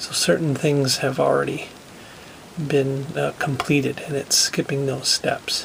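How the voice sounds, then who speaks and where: A soft-spoken man talks at a fairly slow pace against noticeable background noise. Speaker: tech hobbyist video creator. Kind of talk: casual tutorial walkthrough. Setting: laundry room at home. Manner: soft-spoken, speaking quietly.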